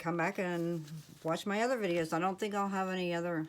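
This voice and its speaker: A woman with a Midwestern American accent speaks fairly quickly in a fairly low voice, using ordinary pitch variation. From US Midwest, Ohio. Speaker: crafting YouTuber. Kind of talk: casual haul video talk. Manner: casual, hesitant with fillers.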